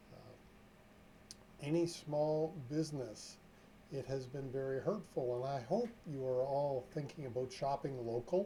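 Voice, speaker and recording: A somewhat breathy man with a fairly high pitch and a dark, mellow tone, at a fairly slow pace with long, frequent pauses, big swings in loudness and ordinary pitch variation. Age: 60s. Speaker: trucking safety consultant. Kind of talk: live stream talk. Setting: live stream. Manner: casual, chatty.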